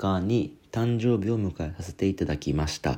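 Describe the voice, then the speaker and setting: Here a man speaks at a very deep, low pitch. His tone is dark and mellow. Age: 30s. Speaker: podcast host. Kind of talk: solo casual talk.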